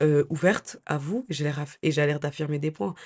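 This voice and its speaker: A woman with a dark, mellow tone delivers her words at a moderate pace. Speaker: lifestyle YouTuber. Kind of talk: advice vlog. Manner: hesitant, many fillers.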